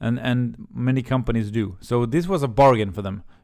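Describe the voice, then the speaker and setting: In a very clean recording with a silent background, a man with a Swedish accent speaks at a moderate pace and medium pitch, with ordinary pitch variation. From Sweden, Helsingborg. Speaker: YouTuber, career coach. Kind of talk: storytime monologue. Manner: halting, many fillers and repeats.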